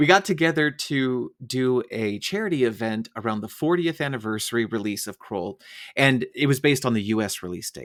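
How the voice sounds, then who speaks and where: On a very clean recording with a silent background, a man with an American accent has an ordinary speaking voice at a medium pitch and talks at a fairly quick pace with lively intonation. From United States. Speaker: podcast host. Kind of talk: interview.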